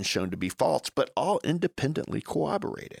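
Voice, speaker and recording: A man talks at a moderate pace with vocal fry. The sound is dry and close with no echo, in a very clean recording over a silent background. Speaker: podcast host and physician. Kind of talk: angry rant, fervent political monologue condemning the media. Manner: impassioned, indignant, emphatic, forceful delivery.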